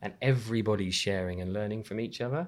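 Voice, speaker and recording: A man talks at a very fast pace. His voice sits at a medium pitch. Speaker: brand design agency leader. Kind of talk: casual interview. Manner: animated.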